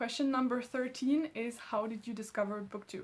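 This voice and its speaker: A woman with a French accent and fairly even intonation. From France, Alsace. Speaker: booktuber. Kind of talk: casual vlog chat.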